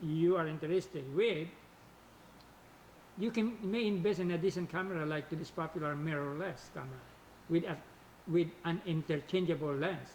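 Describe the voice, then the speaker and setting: With a non-native accent, a man speaks at a moderate pace in a high pitch with ordinary pitch variation. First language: not English. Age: old. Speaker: hobbyist photographer and video creator. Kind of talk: scripted tutorial narration.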